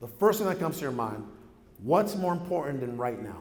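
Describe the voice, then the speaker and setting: A man speaks fairly quickly in a high pitch with an animated tone and very wide pitch swings, amid noticeable background noise and audible room echo. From Mexico, raised in San Diego area. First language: Spanish. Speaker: real estate entrepreneur, keynote speaker. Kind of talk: keynote speech. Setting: stage with audience.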